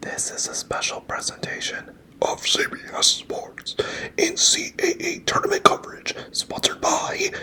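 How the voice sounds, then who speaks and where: A man is whispering. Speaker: sports broadcaster doing ASMR. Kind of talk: sports play-by-play commentary. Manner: relaxing, calm.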